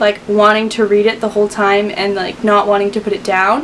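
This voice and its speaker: With noticeable background noise behind her, a woman talks at a fairly quick pace. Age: young. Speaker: book reviewer. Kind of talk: casual talk to camera. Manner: upbeat.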